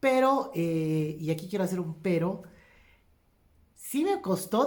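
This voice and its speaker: A woman talks in a dark, mellow tone. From Bolivia, Cochabamba. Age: 40s. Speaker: economist and former comedian. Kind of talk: talk to audience. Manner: many fillers and hesitations.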